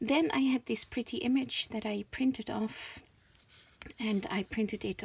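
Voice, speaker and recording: A woman with a Dutch accent speaks at a fairly high pitch. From Netherlands. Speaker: crafter, channel owner. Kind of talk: craft show-and-tell. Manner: hesitant, many fillers.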